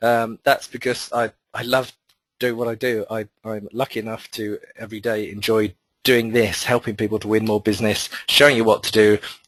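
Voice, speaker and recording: In a dry, close sound with no echo, a man with a British accent and medium pitch talks at a fairly quick pace with fairly even intonation. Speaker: marketing consultant and webinar presenter. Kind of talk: webinar presentation. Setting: online webinar. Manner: fast.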